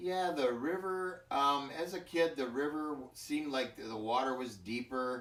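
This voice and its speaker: A man speaks with an Upper Midwest accent. He goes fairly slowly, with ordinary pitch variation. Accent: Upper Midwest American (Michigan). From Michigan, US Midwest. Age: 60s. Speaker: farmer. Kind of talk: interview. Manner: halting.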